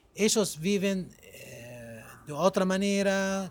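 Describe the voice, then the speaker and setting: Here a man speaks with an Arabic accent at a high pitch. He goes at a very slow pace. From Egypt, Cairo. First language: Arabic (speaking Spanish). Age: 40s. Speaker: podcast guest. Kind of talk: casual chat.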